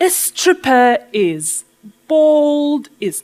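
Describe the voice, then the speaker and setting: A woman with a Polish accent lets her pitch swing very widely. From Poland. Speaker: business speaker and burlesque dancer. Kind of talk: keynote talk.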